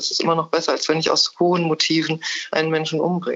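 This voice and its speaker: A woman at a very fast pace. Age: 60s. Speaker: theologian and writer. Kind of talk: interview. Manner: formal.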